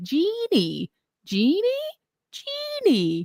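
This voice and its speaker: Using a put-on character voice in a Southern US accent, a woman speaks at a high pitch, with a dry, close sound and no echo. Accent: Southern American. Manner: repetitive looping.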